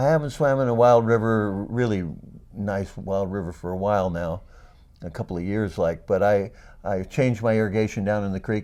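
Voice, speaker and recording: Speaking at a fairly quick pace, a man with a dark, mellow tone shows ordinary pitch variation. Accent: American. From US West, Oregon. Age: 70s. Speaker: peace volunteer. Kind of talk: interview. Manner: halting.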